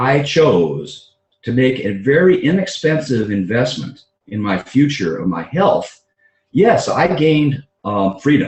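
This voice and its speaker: A man with a fairly high voice speaks fairly slowly, with vocal fry. His pitch swings very widely. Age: 60s. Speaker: doctor and network marketing entrepreneur. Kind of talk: conference call talk. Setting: conference call. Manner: halting, many fillers.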